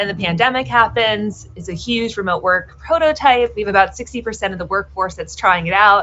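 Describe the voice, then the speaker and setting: A woman speaks in a normal speaking voice at medium pitch and a moderate pace. Her intonation is lively, and she hardly pauses. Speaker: author. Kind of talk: interview.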